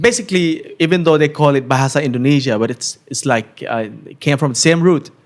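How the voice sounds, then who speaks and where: Man's fairly high voice in a southern Thai accent, lively in intonation, with big swings in loudness. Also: fairly quick pace. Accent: southern Thai accent when speaking Thai. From Southern Thailand (Narathiwat, Yala, Pattani). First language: Thai and Malay. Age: 30s. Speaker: vlogger. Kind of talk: casual interview chat. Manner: halting, repeats words.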